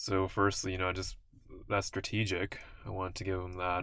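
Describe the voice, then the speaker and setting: Mumbling in a bright, sharp tone, the speaker keeps a monotone, flat intonation. The recording is very clean, with a silent background. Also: man. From South Asia. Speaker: vlogger. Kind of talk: monologue vlog. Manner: stutters, mumbles.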